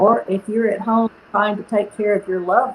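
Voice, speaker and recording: At a moderate pace, a woman with a Southern US accent speaks over noticeable background noise. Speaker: product inventor and company CEO. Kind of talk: interview.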